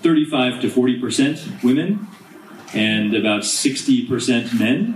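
A man with an American accent, ordinary pitch variation and noticeable background noise. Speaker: diplomat. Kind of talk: panel discussion. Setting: stage with audience.

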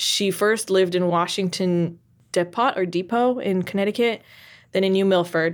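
Here is a woman with an ordinary speaking voice at a medium pitch, talking at a moderate pace. The recording is very clean, with a silent background. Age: 30s. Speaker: podcast co-host. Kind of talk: casual chat.

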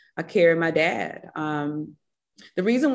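A woman with a Mississippi accent, fairly low-pitched with ordinary pitch variation, against a quiet background. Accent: Mississippi Southern. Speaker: business founder and CEO. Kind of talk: casual interview conversation.

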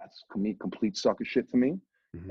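In a Boston accent, a man speaks. His pace is very fast. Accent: Boston area. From New Hampshire. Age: 40s. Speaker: radio DJ. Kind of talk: casual chat. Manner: animated.

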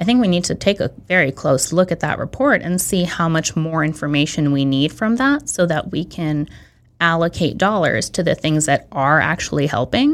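A woman with a Californian accent speaks at a fairly low pitch. The recording is very clean, with a silent background. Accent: General American (California). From San Francisco Bay Area, California. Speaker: city council candidate. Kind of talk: interview.

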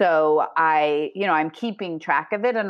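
A woman talks in an unremarkable speaking voice at a fairly low pitch. Her pace is moderate, with ordinary pitch variation. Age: 40s. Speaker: life coach. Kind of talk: casual chat.

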